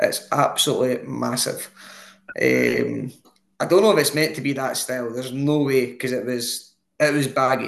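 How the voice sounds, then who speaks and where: Here is a man with a Scottish accent. He talks at a moderate pace. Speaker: football podcast co-host. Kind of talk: casual chat.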